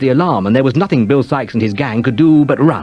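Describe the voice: The text is given as plain reading aloud.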